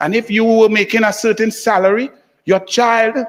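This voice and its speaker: A man talks loudly. His pitch is high. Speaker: senator. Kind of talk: parliamentary speech. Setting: senate chamber. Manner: impassioned.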